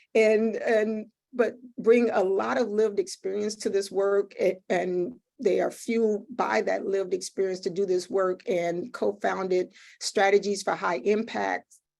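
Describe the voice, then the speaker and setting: A woman talks at a fairly slow pace. Her medium pitch holds fairly even intonation. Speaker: webinar moderator. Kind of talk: panel introductions.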